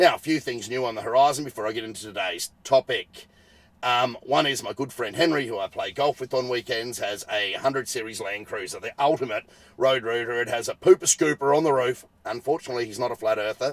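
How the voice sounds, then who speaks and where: With an Australian accent, a man talks at a fairly quick pace and medium pitch with ordinary pitch variation. The sound is dry and close, with no echo. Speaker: podcast host, car tuner. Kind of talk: casual solo podcast talk. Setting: recording inside a parked car.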